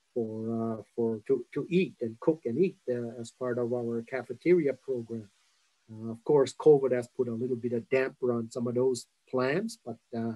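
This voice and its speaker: A man speaks in a dark, mellow tone. Behind him the background is quiet. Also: ordinary pitch variation, moderate pace. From Elsipogtog First Nation, New Brunswick, Canada; New Brunswick, Canada. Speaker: interviewee. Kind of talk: interview answer. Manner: casual, hesitant. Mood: relaxed, reminiscing. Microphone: video call.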